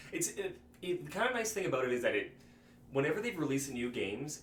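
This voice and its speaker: Talking at a very fast pace, a man uses lively intonation. Room echo can be heard. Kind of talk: casual chat. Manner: halting, many false starts.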